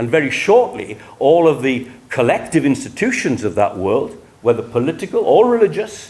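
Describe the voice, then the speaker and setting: A man with a fairly high pitch speaks at a moderate pace, his pitch swinging very widely. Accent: South Wales. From Wales, Rhondda Valley. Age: 70s. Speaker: historian. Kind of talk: lecture. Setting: conference room with audience. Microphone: speaking without a microphone.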